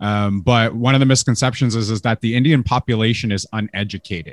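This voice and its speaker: With a Canadian accent, a man speaks in a normal speaking voice at medium pitch with ordinary pitch variation, recorded very cleanly with a silent background and a dry, close sound with no echo. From Canada. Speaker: podcast host. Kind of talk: casual interview.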